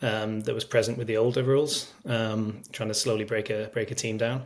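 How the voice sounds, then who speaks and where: A man with a Manchester accent talks at a fairly quick pace. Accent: English, Manchester area. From northern England, Cheshire near Manchester. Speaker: strength and conditioning coach, sports scientist. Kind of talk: podcast interview. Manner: hesitant, many fillers.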